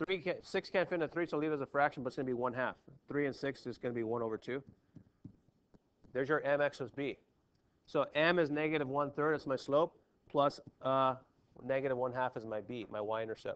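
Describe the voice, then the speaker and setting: A man with a fairly high pitch talks at a fairly quick pace in an animated, bright, sharp tone with ordinary pitch variation and long, frequent pauses. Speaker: math teacher. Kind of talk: classroom lecture. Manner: fast; casual, animated.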